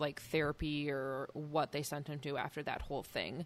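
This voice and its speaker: A woman with a Midwestern accent speaks at a moderate pace in a very deep, low pitch. Her intonation is monotone and flat, in a very clean recording with a silent background. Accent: Midwest. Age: 30s. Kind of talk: casual chat while drinking beer.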